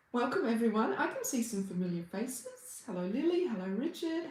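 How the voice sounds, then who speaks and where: A woman with an Australian accent and a fairly high pitch speaks at a moderate pace with very wide pitch swings, amid noticeable background noise. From Australia, Brisbane. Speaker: reiki healer and meditation teacher. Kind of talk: livestream chat with viewers. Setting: livestream. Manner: warm, welcoming.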